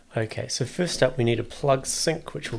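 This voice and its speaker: At a moderate pace, a man speaks with vocal fry. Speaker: music producer. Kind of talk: tutorial. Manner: unscripted, thinking aloud.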